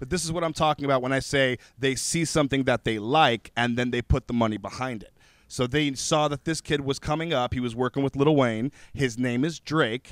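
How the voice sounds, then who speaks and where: A man with a plain, everyday voice speaks at medium pitch and a fairly quick pace, with fairly even intonation and hardly any pauses, in a very clean, dry, close recording with a silent background and no echo. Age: 30s. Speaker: rapper. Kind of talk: casual chat.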